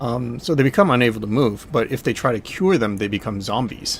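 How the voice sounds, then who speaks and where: Here a man speaks at a fairly quick pace. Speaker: video game streamer. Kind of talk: live gameplay commentary. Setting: live stream. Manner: soft-spoken; casual, rambling with fillers.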